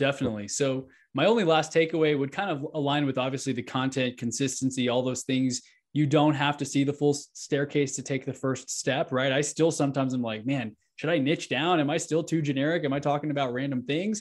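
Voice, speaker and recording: A man talks at a fairly quick clip in a fairly high pitch, with an ordinary speaking voice. His intonation stays fairly even. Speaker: real estate agent and podcast host. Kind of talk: casual interview chat.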